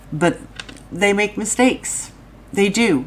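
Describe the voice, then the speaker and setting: Through noticeable background noise, a woman's pitch varies in an ordinary way. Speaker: true crime YouTuber. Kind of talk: live stream commentary. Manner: casual, rambling.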